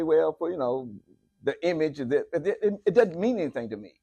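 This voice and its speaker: With an American accent, a man speaks at a moderate pace in a high pitch against a quiet background. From United States. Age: 70s. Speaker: lay speaker. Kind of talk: sermon. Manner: animated.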